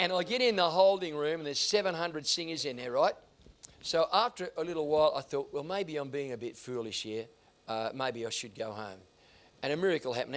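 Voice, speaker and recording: Lively intonation and a fairly quick pace come through in an Australian accent. The recording is very clean, with a silent background. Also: man. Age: 70s. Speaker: singer and former talent agent. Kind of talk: interview storytelling. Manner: animated.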